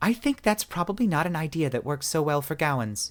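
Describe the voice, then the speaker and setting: Using a put-on character voice, a man speaks fairly quickly at a fairly high pitch. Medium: read story.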